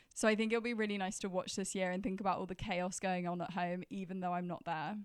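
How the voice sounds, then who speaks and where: In a very clean recording with a silent background, a woman speaks with a British accent and fairly even intonation. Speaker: podcast host. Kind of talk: casual chat.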